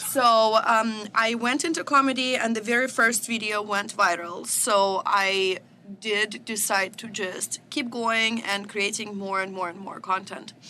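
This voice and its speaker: Speaking fairly slowly with a Russian accent, a woman uses a fairly high pitch and ordinary pitch variation. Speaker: social media comedian. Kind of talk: podcast interview. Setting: studio.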